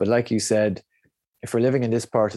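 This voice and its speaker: In an Irish accent, a man speaks with a dark, mellow tone, the sound dry and close with no echo, on a very clean recording with a silent background. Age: 40s. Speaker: breathwork coach. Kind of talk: interview conversation.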